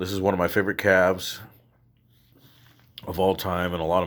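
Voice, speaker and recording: In a very clean recording with a silent background, a man with a very deep, low pitch speaks at a fairly quick pace in a relaxed tone and a monotone, flat intonation. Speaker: guitarist YouTuber. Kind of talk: gear rundown video. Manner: casual, relaxed.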